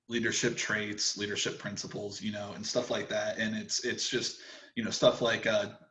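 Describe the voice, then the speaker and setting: A man's fairly low, monotone, flat voice in an American accent, with audible room echo. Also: moderate pace. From Houston, Texas. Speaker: recruiter, Marine veteran. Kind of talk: webinar presentation. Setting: video call. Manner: halting.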